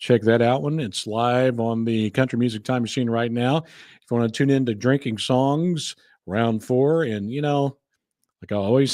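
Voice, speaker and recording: On a very clean recording with a silent background, a man in an American accent talks in an ordinary speaking voice at medium pitch and a moderate pace, with ordinary pitch variation. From California. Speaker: country music podcast host. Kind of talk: casual podcast commentary.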